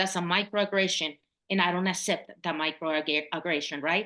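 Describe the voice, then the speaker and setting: Bright and sharp in tone, this voice moves at a moderate pace against a quiet background. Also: woman. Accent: Mexican. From Mexico. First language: Spanish. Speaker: public health consultant. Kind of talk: interview.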